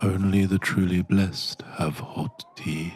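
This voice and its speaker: His pitch is very deep and low, and his intonation fairly even. The man speaks at a fairly slow pace. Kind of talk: parody guided meditation. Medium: solo performance. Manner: slow, soothing, deadpan.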